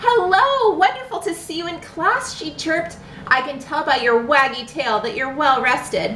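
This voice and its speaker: The speaker uses a put-on character voice at a moderate pace. Clear background noise runs behind it. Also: woman, high pitch for a woman. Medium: read story. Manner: chirpy, bubbly, enthusiastic.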